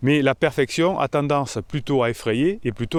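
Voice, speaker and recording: A man speaks in a very clean recording against a silent background. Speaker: relationship coach. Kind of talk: vlog monologue. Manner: hesitant, many fillers.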